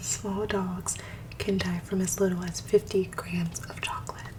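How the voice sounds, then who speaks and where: Noticeable background noise sits behind a woman whispering at a fairly slow pace. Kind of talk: ASMR soft-spoken reading of dog facts.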